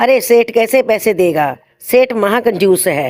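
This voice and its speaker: This put-on character voice is gruff and fairly high in pitch, delivered at a fairly slow pace. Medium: cartoon. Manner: gruff, scolding.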